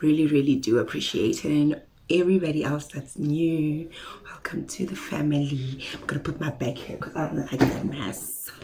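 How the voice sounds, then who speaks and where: Noticeable background noise surrounds a woman whose very deep, low voice moves at a moderate pace with fairly even intonation. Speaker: beauty vlogger. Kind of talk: casual haul video chat.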